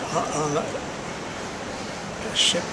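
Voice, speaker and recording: Loud background noise surrounds this man as he talks. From New Zealand. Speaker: war veteran. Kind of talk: interview answer. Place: hall.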